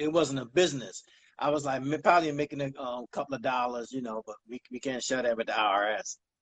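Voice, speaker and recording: In an unremarkable speaking voice with an American accent, the speaker moves at a fairly quick pace with ordinary pitch variation, the sound dry and close with no echo. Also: man, medium pitch for a man. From Baltimore, Maryland and South Carolina. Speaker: clothing line owner. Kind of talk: casual interview.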